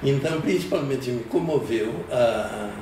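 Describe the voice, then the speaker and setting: Amid noticeable background noise and audible room echo, a man talks at a very slow pace with ordinary pitch variation. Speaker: poet. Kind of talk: interview.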